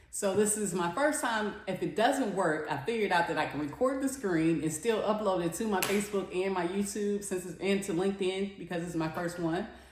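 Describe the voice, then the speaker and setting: A fairly quick pace with hardly any pauses, ordinary pitch variation and noticeable background noise. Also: woman, medium pitch for a woman. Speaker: online business coach. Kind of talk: casual talk to camera before a live webinar.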